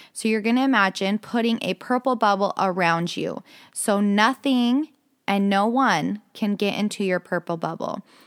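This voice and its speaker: An ordinary speaking voice at a moderate pace with ordinary pitch variation, in a very clean recording with a silent background and a dry, close sound with no echo. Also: woman, medium pitch for a woman. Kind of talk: guided meditation with affirmations. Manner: calm, coaching tone, step-by-step and encouraging.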